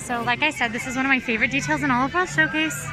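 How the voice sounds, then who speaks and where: Over background music, a woman with a high-pitched voice talks very fast in a raised, projected voice. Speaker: video host. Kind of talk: casual vlog chat.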